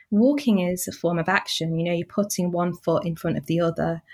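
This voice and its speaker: Speaking at a fairly quick pace in a Mancunian accent, a woman with fairly low pitch and ordinary pitch variation comes through in a very clean recording with a silent background. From Manchester, northern England. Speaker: journalist and author. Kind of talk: interview.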